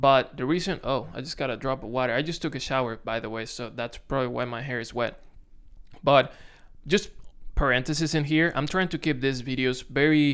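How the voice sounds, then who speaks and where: With a Dominican accent, a man speaks at a moderate pace and medium pitch with ordinary pitch variation on a very clean recording with a silent background. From Dominican Republic. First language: Spanish. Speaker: content creator. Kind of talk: casual vlog to camera. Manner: halting, self-correcting.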